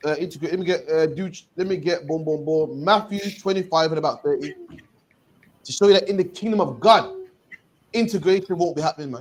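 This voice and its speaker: A man with a high-pitched voice talks at a fairly quick pace. Long pauses come often. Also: ordinary pitch variation. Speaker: street preacher / teacher. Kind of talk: bible teaching discussion. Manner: fast.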